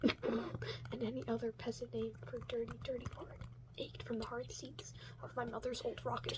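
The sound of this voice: An unforced reading voice carries the whole clip.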